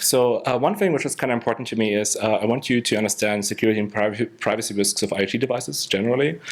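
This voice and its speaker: Over noticeable background noise, a man with a medium pitch talks very fast, his intonation lively. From Germany. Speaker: security researcher. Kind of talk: conference talk. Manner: hesitant, many fillers.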